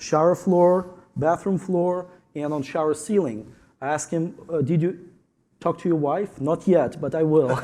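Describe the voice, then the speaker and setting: A man with a Ukrainian accent, a dark, mellow tone, fairly high pitch, ordinary pitch variation, a moderate pace and long, frequent pauses, on a very clean recording with a silent background. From Ukraine. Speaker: tile installer. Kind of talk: panel discussion.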